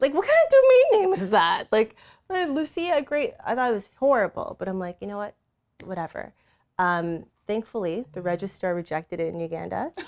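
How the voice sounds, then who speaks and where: A woman with a North American accent talks at a fairly quick pace in an animated tone, her loudness swinging widely. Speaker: entrepreneur. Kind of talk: interview.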